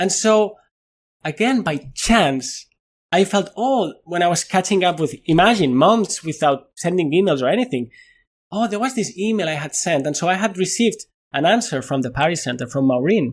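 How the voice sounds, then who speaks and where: A high-pitched male voice with a Spanish accent, moderate pace and lively intonation. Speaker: neuroscientist and physicist. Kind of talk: interview conversation. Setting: video call.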